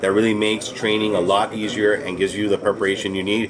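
Speaking at a very fast pace with monotone, flat intonation, a man with a fairly low pitch is heard over noticeable background noise. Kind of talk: interview answer. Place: gym. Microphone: handheld.

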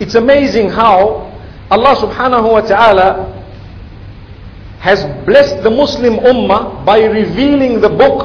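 With light background noise behind him, a man speaks at a fairly slow pace with ordinary pitch variation. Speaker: religious lecturer. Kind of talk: sermon. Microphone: podium.

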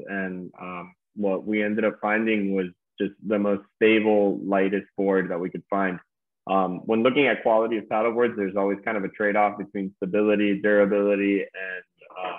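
Against a quiet background, a man with an American accent talks in an ordinary speaking voice, fairly low in pitch, at a moderate pace with fairly even intonation. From Key Biscayne, Florida; Florida. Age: 30s. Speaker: startup co-founder; guest. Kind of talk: interview. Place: home room. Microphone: video call.

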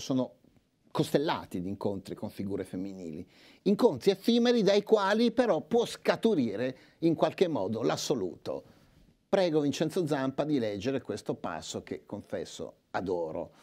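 With vocal fry and a dark, mellow tone, a man talks at a moderate pace using very wide pitch swings. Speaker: literary scholar. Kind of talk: lecture. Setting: stage with audience. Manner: formal. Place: hall. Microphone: lapel.

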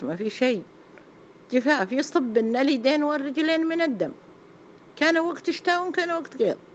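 Her pitch swings very widely as a woman talks at a fairly slow pace. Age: 70s. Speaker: elderly woman telling her life story. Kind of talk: personal testimony.

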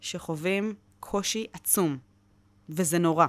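The speaker is a woman. She sounds animated. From Israel, Wadi Ara; Israel. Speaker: public diplomacy trainer at a nonprofit. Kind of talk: interview. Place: studio. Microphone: studio mic.

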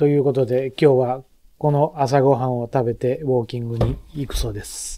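Light background noise sits behind a man's medium-pitched voice. His intonation is monotone and flat. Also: moderate pace. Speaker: vlog narrator, family member. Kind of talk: casual vlog narration and chat. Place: home room. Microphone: phone near.

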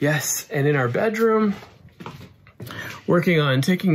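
A man's high voice at a fairly slow pace, with very wide pitch swings over light background noise. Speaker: renovation vlogger. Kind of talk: casual vlog chat. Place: home room. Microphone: phone near.

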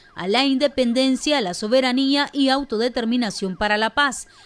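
A woman speaks at a high pitch and a moderate pace, with ordinary pitch variation. Noticeable background noise is present. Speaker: morning news host. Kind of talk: news presenting and interviewing. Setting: studio.

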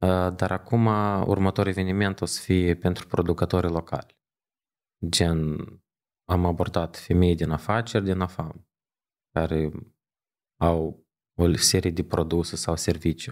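Over a quiet background, a man with a very deep, low pitch talks at a fairly slow pace with fairly even intonation and long, frequent pauses. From Moldova, Chișinău; Moldova. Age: 30s. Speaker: digital agency founder; podcast guest. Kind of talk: interview. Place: studio. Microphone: studio mic.

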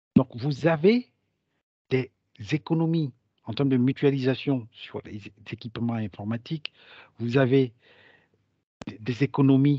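The tone is dark and mellow, with ordinary pitch variation and a fairly slow pace. The sound is dry and close with no echo, over a quiet background. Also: man. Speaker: digital transformation consultant. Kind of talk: webinar presentation. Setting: online webinar.

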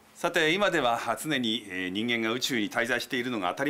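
A man talks at a fairly quick pace with a bright, sharp tone. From Japan. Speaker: TV news commentator. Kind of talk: explanatory news commentary. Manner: polite, measured. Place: studio. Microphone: lapel.

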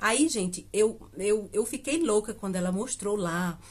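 Her voice sits at medium pitch. This woman sounds somewhat breathy. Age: 50s. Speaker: beauty vlogger. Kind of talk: casual vlog talk to camera. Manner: chatty, filler-heavy with hesitations. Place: home room. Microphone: phone near.

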